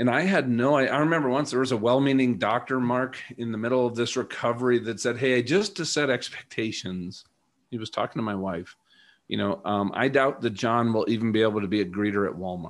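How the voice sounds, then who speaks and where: A man with a plain, everyday voice speaks at a fairly quick pace, his medium pitch showing ordinary variation. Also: very clean recording, silent background. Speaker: former fighter pilot turned coach and speaker. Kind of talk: interview.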